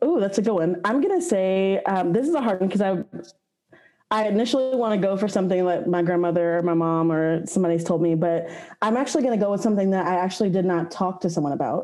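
A woman with an American accent at a very fast pace, her dark, mellow tone in a medium pitch, ordinary pitch variation and very even loudness. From Austin, Texas. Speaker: marketing manager. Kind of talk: casual chat. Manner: halting, many fillers.

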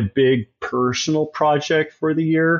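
This man speaks with a West Coast accent. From born in Tasmania, Australia; raised in Eugene, Oregon from age ten. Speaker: psychedelic pharmacist. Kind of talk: interview conversation.

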